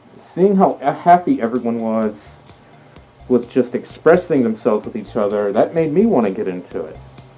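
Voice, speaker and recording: The speech goes at a moderate pace over music in the background. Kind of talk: casual talk to camera. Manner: hesitant, stuttering.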